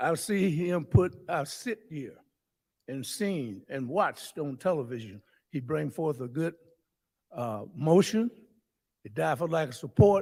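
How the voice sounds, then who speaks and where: A man's fairly high voice with very wide pitch swings, big swings in loudness, long, frequent pauses and a fairly slow pace. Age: 80s+. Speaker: public commenter at city council. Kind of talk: public comment speech. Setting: council chamber microphone. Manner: emphatic.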